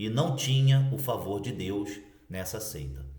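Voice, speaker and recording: A man's pitch moves in an ordinary way amid noticeable background noise and audible room echo. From Brazil, Cabo Frio, Rio de Janeiro state. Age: 40s. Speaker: former Jehovah's Witness elder, video blogger. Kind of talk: personal testimony to camera. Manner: casual, conversational.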